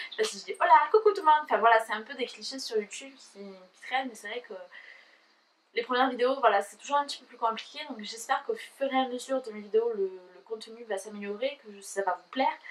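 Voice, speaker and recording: Talking at a very fast pace, a woman speaks in a high pitch. Her loudness swings widely. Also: ordinary pitch variation. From southern France. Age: 20s. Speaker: YouTuber. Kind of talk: casual vlog talk to camera. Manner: hesitant, many fillers.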